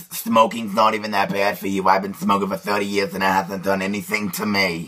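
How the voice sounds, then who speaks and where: The speaker adopts a put-on character voice. The delivery is fairly quick. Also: man, fairly low pitch for a man. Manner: casual, dismissive.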